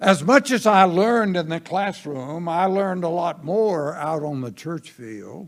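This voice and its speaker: In a Southern US accent, the speaker goes at a fairly slow pace with lively intonation and big swings in loudness, on a very clean recording with a silent background. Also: man, high pitch for a man. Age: 90s. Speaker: pastor. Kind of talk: sermon. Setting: church.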